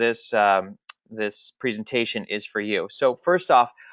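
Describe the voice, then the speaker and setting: At a fairly slow pace, a man with an unremarkable speaking voice uses lively intonation. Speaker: marketing trainer. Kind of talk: webinar presentation.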